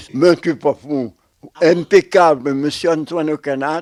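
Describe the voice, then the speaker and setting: A man talks at a very slow pace, sounding dry and close with no echo. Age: 80s+. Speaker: former factory worker. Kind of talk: interview.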